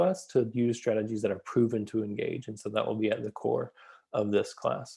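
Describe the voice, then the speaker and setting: In an American accent, a man speaks at a fairly quick pace with a medium pitch, a dark, mellow tone and fairly even intonation over a quiet background. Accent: Southern US, comes out at times. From US South, Atlanta area. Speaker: school psychologist and educational consultant. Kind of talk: course introduction video.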